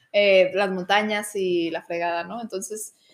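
A woman with a Mexican accent speaks at a fairly slow pace. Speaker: architect. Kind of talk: casual chat.

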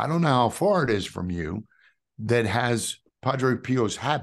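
A man with a New York accent speaks at a fairly slow pace. His medium pitch makes very wide swings. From New York City (Queens). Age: 50s. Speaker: testimony speaker, ministry founder. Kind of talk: testimony.

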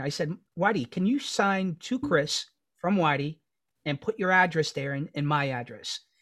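Speaking with a New York accent, a man uses a high pitch and lively intonation. His pace is moderate. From New York City, Queens (Astoria). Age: 40s. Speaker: podcast co-host. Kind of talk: casual chat.

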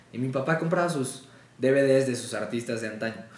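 A man's speech, at a moderate tempo with normal pitch movement, is accompanied by audible room echo. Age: 20s. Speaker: voice actor. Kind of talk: casual chat.

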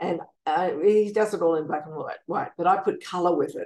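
An Australian accent comes through. It belongs to a woman. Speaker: composer and piano teacher. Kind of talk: interview. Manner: halting with many fillers.

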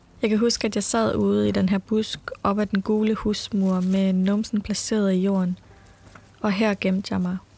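A woman's dark, mellow, somewhat breathy voice, monotone and flat in intonation, at a fairly slow pace. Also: medium pitch for a woman, very even loudness. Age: 20s. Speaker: podcast host. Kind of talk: personal storytelling narration.

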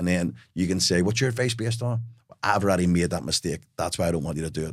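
The speech comes at a very fast pace in a Belfast accent, with ordinary pitch variation. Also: man. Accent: Belfast Northern Irish. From Northern Ireland, Belfast. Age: 40s. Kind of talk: interview conversation.

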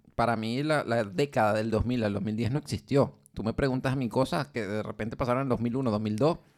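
A man talks at a fairly quick pace with hardly any pauses and ordinary pitch variation, in a plain, everyday voice. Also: medium pitch for a man. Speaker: podcast co-host. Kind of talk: casual chat.

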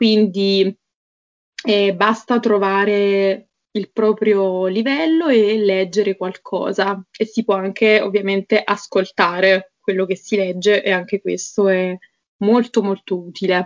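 Her loudness very even, a woman of medium pitch speaks at a very slow pace with fairly even intonation. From Naples area, Italy. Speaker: Italian teacher. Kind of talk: casual interview chat.

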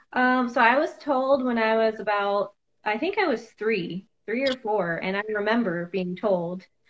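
A woman with a plain, everyday voice and an American accent, fairly high in pitch, fairly slow in pace, with ordinary pitch variation. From US Midwest, Iowa. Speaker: hairstylist and adoptee. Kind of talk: interview.

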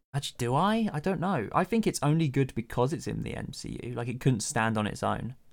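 A man's medium-pitched voice with vocal fry at a fairly quick pace. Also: lively intonation, very clean recording, silent background. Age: 20s. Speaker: podcast co-host, writer and streamer. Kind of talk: casual chat.

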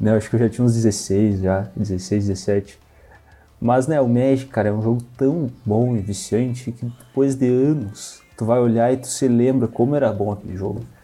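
A man with a plain, everyday voice, fairly even intonation and a moderate pace. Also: medium pitch for a man. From Rio Grande do Sul, Brazil (Santa Maria). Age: 20s. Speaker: card game player. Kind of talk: casual chat.

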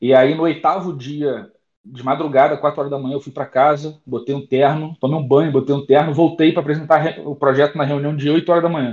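Hardly pausing, a man with a fairly high pitch talks at a fairly quick pace in a monotone, flat intonation, his loudness swinging widely. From Niterói, Rio de Janeiro, Brazil. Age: 30s. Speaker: software consultant and programming teacher. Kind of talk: casual chat. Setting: online audio room.

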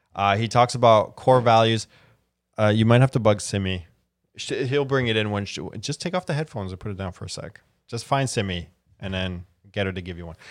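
A man's fairly low voice with a Canadian accent, at a fairly quick pace with long, frequent pauses, ordinary pitch variation and big swings in loudness, on a very clean recording with a silent background. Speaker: talk show host. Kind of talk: casual chat. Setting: studio.

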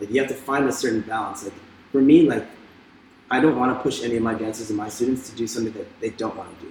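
Talking very fast, a man shows big swings in loudness. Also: medium pitch for a man, fairly even intonation. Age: 30s. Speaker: dancer and dance teacher. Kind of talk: interview.

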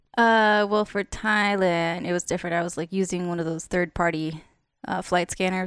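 A woman with an American accent speaks in a normal speaking voice at a medium pitch and a moderate pace. Her intonation is fairly even, and the recording is very clean with a silent background. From Las Vegas, US. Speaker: creative/artist. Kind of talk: casual chat.

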